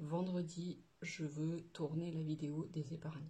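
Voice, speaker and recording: A woman speaks with a dark, mellow tone. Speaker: budgeting vlogger. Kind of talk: casual vlog chat. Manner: hesitant, many fillers.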